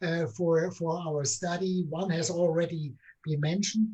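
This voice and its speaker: Speaking with a German accent, a man has a high pitch and a dark, mellow tone. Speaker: political scientist, book co-author. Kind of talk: academic book discussion. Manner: hesitant, many fillers.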